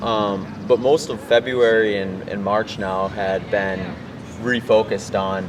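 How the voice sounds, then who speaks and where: The speaker has a strong Midwestern accent and talks at a fairly slow pace with fairly even intonation. There is noticeable background noise. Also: man, fairly low pitch for a man. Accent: Midwest accent, strong. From US Midwest, Wisconsin. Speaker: ultrarunner. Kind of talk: interview.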